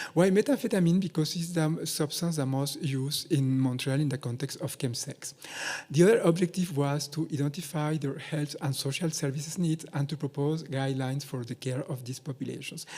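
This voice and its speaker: A man's fairly high, somewhat breathy voice with a dark, mellow tone and a non-native accent, at a fairly quick pace. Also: ordinary pitch variation. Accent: non-native accent, self-noted. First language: not English (English is third language). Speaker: researcher. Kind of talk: conference presentation. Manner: hesitant, many fillers.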